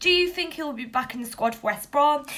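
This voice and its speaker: Speaking at a very fast pace, the voice makes very wide pitch swings over noticeable background noise. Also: woman. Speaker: football vlogger. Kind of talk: Q&A vlog.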